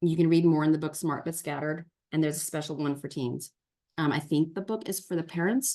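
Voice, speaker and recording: A woman talks at a fairly quick pace. Her pitch is fairly low. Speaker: tutor and teacher for homeschoolers. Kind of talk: online workshop presentation. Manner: fast.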